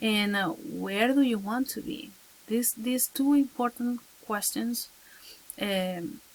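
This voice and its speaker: A woman with a Spanish accent speaks very slowly in a somewhat breathy, fairly high voice, with ordinary pitch variation and long, frequent pauses. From Venezuela. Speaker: teacher. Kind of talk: advice talk to camera. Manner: halting, many fillers.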